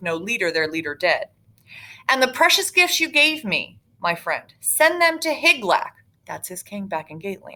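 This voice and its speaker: Very wide pitch swings run through a bright, sharp tone. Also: woman. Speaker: high school English teacher. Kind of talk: reading aloud. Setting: live online class. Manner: put-on video voice.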